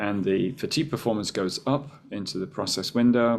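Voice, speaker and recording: An unremarkable speaking voice with ordinary pitch variation at a moderate pace, on a very clean recording with a silent background. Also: man. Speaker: professor. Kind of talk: lecture.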